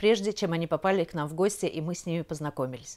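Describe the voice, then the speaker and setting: With lively intonation, a woman speaks at a fairly quick pace. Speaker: TV show host. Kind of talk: scripted TV interview. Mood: polite, warm. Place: home room. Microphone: handheld.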